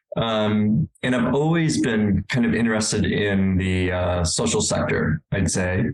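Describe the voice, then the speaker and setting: Lively intonation marks an ordinary speaking voice. The pace is fairly slow. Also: man. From California. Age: 60s. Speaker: adaptive sports director. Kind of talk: interview.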